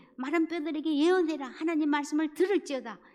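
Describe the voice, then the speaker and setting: A woman speaks at a high pitch. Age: 70s. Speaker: church evangelism speaker. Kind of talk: church evangelism lecture.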